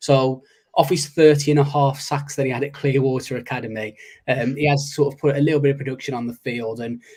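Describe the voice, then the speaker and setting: Speaking at a very fast pace, a man sounds somewhat breathy. His pitch is fairly high, and his intonation is monotone and flat. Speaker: podcast co-host. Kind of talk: casual chat. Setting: live stream.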